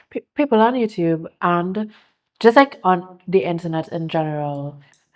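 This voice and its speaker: Lively intonation at a fairly slow pace, in a Caribbean accent. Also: woman, fairly low pitch for a woman. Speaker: content creator and entrepreneur. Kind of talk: casual chat.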